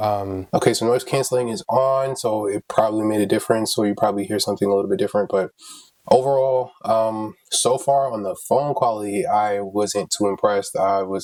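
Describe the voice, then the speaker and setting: A man has an unremarkable speaking voice with a fairly low pitch. His intonation is lively. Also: fairly quick pace. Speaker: tech reviewer. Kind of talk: product review. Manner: casual, conversational.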